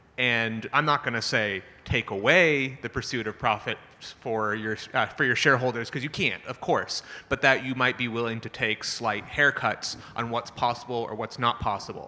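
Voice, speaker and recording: Loud and bright with a sharp tone, a man at medium pitch speaks at a moderate pace with fairly even intonation. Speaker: panelist, climate finance executive. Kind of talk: panel discussion. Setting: conference stage with audience.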